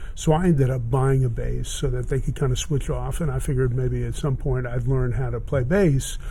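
Fairly quick and with hardly any pauses, a man talks in an American accent. Audible room echo surrounds his voice. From Miami, Florida. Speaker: vintage guitar dealer. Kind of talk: casual interview. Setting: in his guitar store.

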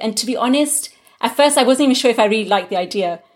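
A woman speaks with a British accent at a very fast pace. Her pitch varies in an ordinary way. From England. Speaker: linguist. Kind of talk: interview.

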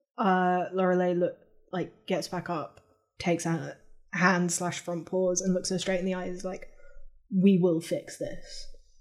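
A woman speaks in a normal speaking voice at a medium pitch, fairly slowly. Her intonation is fairly even, and the recording is very clean with a silent background. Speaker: role-play podcast player. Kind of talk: in-character improvised role-play.

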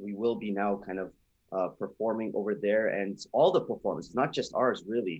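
This is a man with an ordinary speaking voice, pitched fairly low. His intonation stays fairly even. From Toronto, Canada. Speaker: band musician. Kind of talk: interview.

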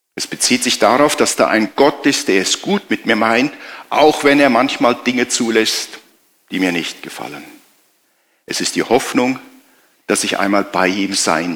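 Lively intonation runs through fairly slow speech broken by long, frequent pauses. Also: man. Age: 60s. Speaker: pastor. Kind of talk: sermon.

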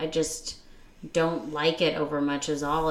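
A woman's very deep, low voice at a fairly slow pace, with noticeable background noise. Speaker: podcast co-host. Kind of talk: casual chat. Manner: bantering, teasing.

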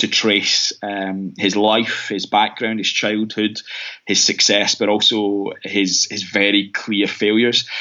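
A man with a Scottish accent speaks very slowly in a fairly low, flat monotone. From Scotland, Glasgow east end. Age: 30s. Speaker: mission organisation rep and minister. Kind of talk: casual interview. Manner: halting, many fillers.

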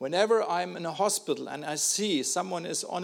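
Someone speaks at a moderate pace with a German accent, against noticeable background noise. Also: man. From Germany. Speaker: missionary. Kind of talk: testimony. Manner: halting, with repeated words.

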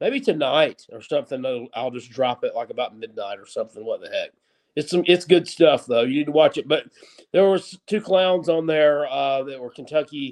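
With a Southern US accent, a man speaks at a moderate pace and a fairly high pitch, with ordinary pitch variation and big swings in loudness. The sound is dry and close with no echo. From upstate South Carolina. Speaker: sports podcast co-host. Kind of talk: casual sports talk show banter. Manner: halting, stumbling over words.

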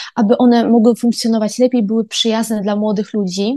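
A woman's fairly high, somewhat breathy voice with a dark, mellow tone, fairly even intonation and a moderate pace. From Poland, Koszalin (Pomerania). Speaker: university student. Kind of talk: podcast monologue.

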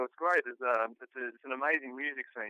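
With an Australian accent, a man talks at a very fast pace in a medium pitch, his bright, sharp tone heard in a dry, close sound with no echo. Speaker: musician. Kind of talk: casual interview.

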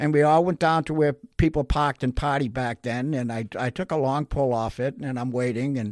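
In a very clean recording with a silent background and a dry, close sound with no echo, a man with an unremarkable speaking voice talks fairly quickly at a fairly high pitch with ordinary pitch variation. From Massachusetts (North Shore). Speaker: recovering alcoholic sharing his story. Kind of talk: testimony.

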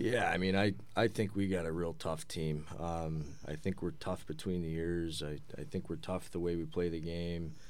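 A man speaks at a very deep, low pitch and a moderate pace, with hardly any pauses. His intonation is fairly even, and the room echo is audible. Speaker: hockey head coach. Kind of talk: casual interview.

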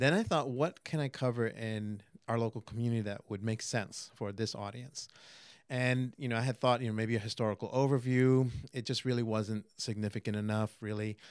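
With an American accent and an unremarkable speaking voice, a man of medium pitch talks at a fairly quick pace on a very clean recording with a silent background. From New York City, Queens. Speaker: magazine publisher. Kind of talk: casual interview. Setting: studio couch.

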